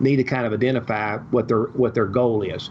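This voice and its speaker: There is noticeable background noise behind the voice. A man speaks at a fairly quick pace with fairly even intonation. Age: 70s. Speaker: real estate investor. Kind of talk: podcast interview. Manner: talks at length.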